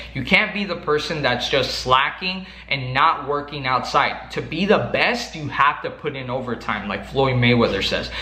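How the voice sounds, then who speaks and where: A man with a strong Mexican accent speaks in an animated tone at a fairly slow pace, with ordinary pitch variation. Audible room echo and noticeable background noise fill the recording. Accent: thick Mexican. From Mexico. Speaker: sales coach YouTuber. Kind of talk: motivational talk to camera.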